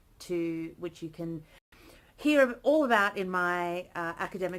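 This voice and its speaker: A woman's medium-pitched voice in an Australian accent, fairly slow and with lively intonation, on a very clean recording with a silent background. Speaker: early career academic vlogger. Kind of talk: casual vlog monologue. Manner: animated.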